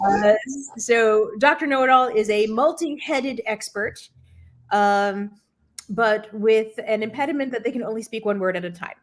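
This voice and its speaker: Here a woman has an unremarkable speaking voice, pitched fairly high. She moves at a moderate pace with ordinary pitch variation. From New Jersey, US. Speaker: improv game host, marketing leader. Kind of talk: casual livestream chat.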